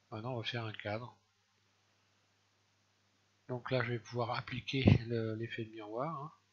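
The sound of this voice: A man speaks with a fairly bright tone and a slightly husky edge. His pitch shows little movement.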